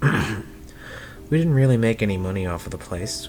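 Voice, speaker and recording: Music sounds in the background as a man speaks. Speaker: story narrator. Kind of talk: horror story reading.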